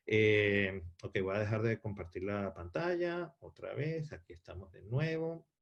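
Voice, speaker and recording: A man speaks at a very slow pace and a fairly low pitch, with long, frequent pauses. His pitch swings very widely and his loudness rises and falls sharply. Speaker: theatre actor and director teaching a class. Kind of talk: lecture. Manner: halting, many fillers and repetitions.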